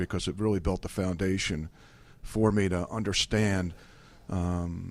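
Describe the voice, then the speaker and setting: Speaking in a New Jersey accent, a man with a fairly low pitch keeps a moderate pace and fairly even intonation on a very clean recording with a silent background. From New Jersey, US. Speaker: food company executive. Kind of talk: radio interview. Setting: radio studio. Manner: hesitant, many fillers.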